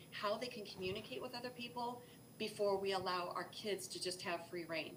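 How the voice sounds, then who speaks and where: A woman's medium-pitched voice with ordinary pitch variation, audible room echo and noticeable background noise. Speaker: cyber safety presenter. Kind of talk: educational presentation. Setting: live broadcast. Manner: fast.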